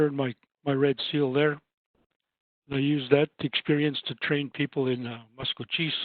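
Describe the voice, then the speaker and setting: A man with a Canadian prairie accent speaks at a fairly high pitch. His intonation is monotone and flat, with long, frequent pauses. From Saskatchewan, Canada (First Nations). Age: 60s. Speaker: housing advisor and trainer. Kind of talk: webinar presentation. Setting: online webinar.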